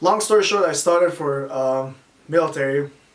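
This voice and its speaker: A man's voice sits fairly high in pitch and moves with ordinary variation. Behind it, background noise is noticeable. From Iran. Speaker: army veteran, personal trainer. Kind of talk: podcast interview answer.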